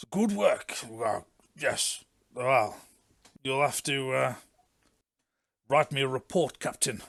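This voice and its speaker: Using a put-on character voice, a man speaks at medium pitch, sounding raspy with lively intonation. His delivery is very slow, with long, frequent pauses and big swings in loudness. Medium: actual play. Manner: clipped, officious.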